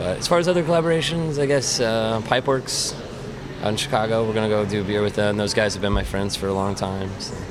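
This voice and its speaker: Noticeable background noise surrounds a man speaking very fast with an American accent. His pitch is fairly low and his intonation lively. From US Midwest, central Illinois. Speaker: brewer. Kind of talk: casual interview.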